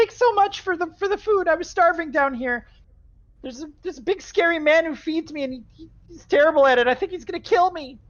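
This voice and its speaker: A put-on character voice, squeaky and extremely high in pitch, races along at a very fast pace. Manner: desperate, complaining.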